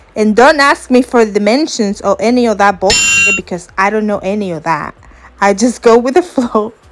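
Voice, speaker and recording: This woman's fairly high pitch moves with lively intonation, while noticeable background noise is present. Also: moderate pace. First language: not English. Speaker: crafts YouTuber. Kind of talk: tutorial. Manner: casual, hesitant with fillers.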